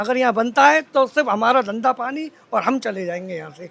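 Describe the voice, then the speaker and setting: This man's pitch is extremely high. His tone is animated and his intonation lively. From India, Vrindavan (Braj region). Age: 40s. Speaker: local shopkeeper. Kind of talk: street interview.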